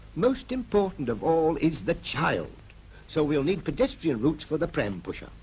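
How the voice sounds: Speaking at a fairly slow pace, a man's slightly mellow voice makes big pitch swings.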